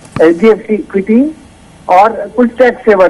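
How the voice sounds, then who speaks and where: Noticeable background noise accompanies this recording. The man speaking has a high pitch. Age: 60s. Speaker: retired caller. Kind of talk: phone-in question. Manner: halting.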